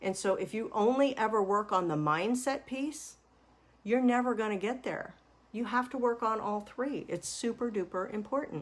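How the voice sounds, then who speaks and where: This woman has a fairly high pitch and an unremarkable speaking voice. She talks at a moderate pace with ordinary pitch variation. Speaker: money mindset coach. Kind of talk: webinar-style lecture.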